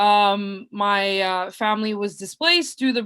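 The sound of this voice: A woman's voice at medium pitch. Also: fairly bright tone.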